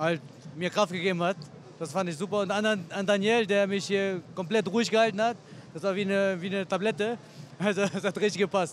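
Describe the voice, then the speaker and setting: A man with a high pitch talks at a fairly quick pace and fairly even intonation, the sound dry with no echo and light background noise behind him. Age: 30s. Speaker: MMA fighter. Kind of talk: post-fight interview. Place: hall. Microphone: handheld.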